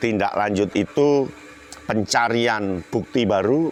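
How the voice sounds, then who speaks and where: Over noticeable background noise, a man at medium pitch speaks at a very slow pace with ordinary pitch variation. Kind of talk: spoken political commentary. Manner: explanatory, structured.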